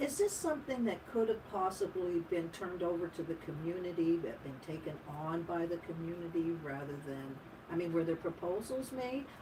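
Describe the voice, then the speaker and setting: Amid noticeable background noise, a woman speaks at a moderate pace and fairly low pitch with lively intonation. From Ottawa, Canada. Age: 60s. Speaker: radio co-host. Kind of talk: casual chat. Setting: radio studio.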